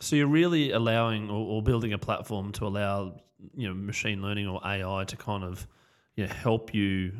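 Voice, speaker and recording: Here a man speaks in an Australian accent at a fairly low pitch. His pace is moderate with ordinary pitch variation, on a very clean recording with a silent background. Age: 40s. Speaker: podcast host. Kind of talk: interview.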